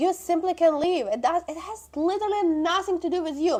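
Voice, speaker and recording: A woman's animated voice at an extremely high pitch, with a non-native accent. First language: not English. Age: 20s. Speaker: social media vlogger. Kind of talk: casual monologue.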